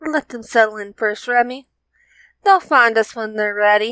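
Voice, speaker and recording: In a very clean recording with a silent background, a female-sounding voice uses a put-on character voice at a fairly high pitch. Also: moderate pace. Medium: read story.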